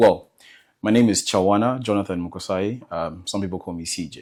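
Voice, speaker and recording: Moderate pace and ordinary pitch variation, with an American accent. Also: man. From Zambia. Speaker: medical student, interview guest. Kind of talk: casual interview. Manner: hesitant, filler-heavy.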